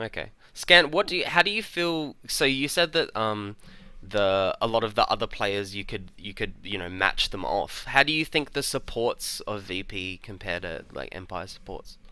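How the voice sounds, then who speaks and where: The recording is very clean with a silent background, as a man with an Australian accent speaks at a medium pitch in a bright, sharp tone. His pitch swings very widely and his loudness shifts a lot. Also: moderate pace. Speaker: podcast host. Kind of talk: podcast discussion.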